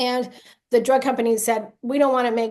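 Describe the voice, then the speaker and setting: A plain, everyday voice from a woman with an American accent, fairly high in pitch and fairly quick in pace. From USA. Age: 60s. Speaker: vaccine injury advocate. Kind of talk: interview testimony.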